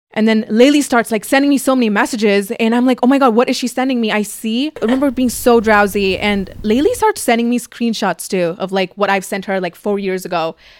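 A woman speaks at a fairly quick pace in a fairly high voice, with hardly any pauses. Her pitch variation is ordinary, and there is noticeable background noise. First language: Tamil. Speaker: YouTuber and podcast host. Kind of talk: casual chat. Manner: animated.

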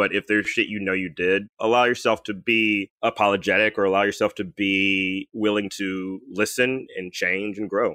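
A man with an American accent talks in a fairly low pitch with a bright, sharp tone. The sound is dry and close, with no echo. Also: quiet background. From US South, Birmingham, Alabama. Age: 30s. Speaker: comedian. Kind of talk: casual chat.

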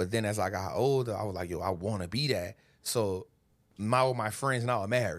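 In a very clean recording with a silent background, a man speaks fairly quickly in a plain, everyday voice, fairly low in pitch with ordinary pitch variation. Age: 40s. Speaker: stock market investor. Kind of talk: casual chat.

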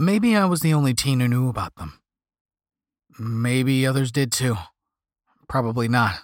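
A man speaks at a medium pitch and a moderate pace, with lively intonation. Long, frequent pauses break up his speech in a very clean recording with a silent background. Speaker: audiobook narrator. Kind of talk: scripted horror story narration.

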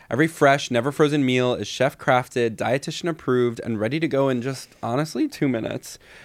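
A man with a plain, everyday voice speaks at a fairly quick pace and medium pitch with ordinary pitch variation, on a very clean recording with a silent background. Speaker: comedian podcast host. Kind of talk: live comedy podcast chat. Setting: stage with audience. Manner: casual, bantering.

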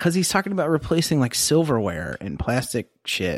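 A man with an American accent, fairly high pitch, vocal fry and very wide pitch swings, at a fairly quick pace in a dry, close sound with no echo. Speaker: podcast co-host. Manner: casual, rambling, swears freely.

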